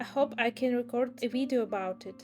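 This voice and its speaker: With a strong non-native accent, the speaker talks at a moderate pace and ordinary pitch variation while music plays in the background. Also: woman. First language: not English. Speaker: illustrator and small business owner. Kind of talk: casual voice-over narration.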